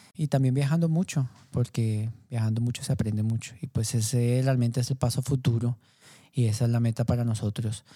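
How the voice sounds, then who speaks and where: A dark, mellow tone, somewhat breathy, comes at a moderate pace and very even loudness on a very clean recording with a silent background. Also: man. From Colombia, Bogotá. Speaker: coffee entrepreneur. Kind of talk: interview. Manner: halting, many fillers.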